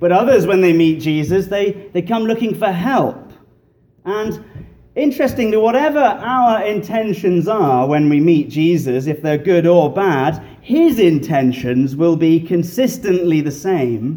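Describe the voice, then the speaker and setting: With a British accent, a man talks at a fairly slow pace in a high pitch. His tone is dark and mellow, and his intonation is lively. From England. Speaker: guest preacher. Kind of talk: sermon. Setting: church. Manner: humorous.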